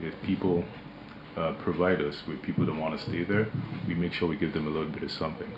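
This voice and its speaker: A man speaks with a very deep, low pitch and fairly even intonation. Noticeable background noise runs behind him. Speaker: company managing director. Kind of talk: radio interview. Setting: radio studio.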